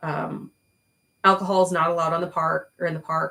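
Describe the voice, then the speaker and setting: Loud and bright with a sharp tone, a woman's fairly low-pitched voice carries vocal fry and fairly even intonation at a moderate pace. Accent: American. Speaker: YouTuber recounting past jobs. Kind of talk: personal storytelling monologue. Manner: casual, many fillers.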